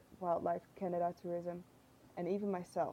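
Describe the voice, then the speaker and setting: A woman's dark, mellow voice with a Dutch accent, at a fairly quick pace. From Netherlands. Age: 20s. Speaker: tourism intern. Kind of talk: reading aloud.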